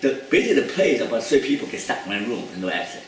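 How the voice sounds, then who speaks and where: A man talks at a very fast pace with ordinary pitch variation. Audible room echo and noticeable background noise accompany him. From China. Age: 70s. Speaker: psychologist. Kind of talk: lecture. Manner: halting.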